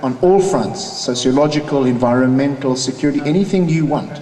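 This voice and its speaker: A man with a South African accent, fairly high in pitch and fairly quick, with ordinary pitch variation, amid audible room echo and noticeable background noise. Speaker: peace activist and conference panelist. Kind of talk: conference panel talk.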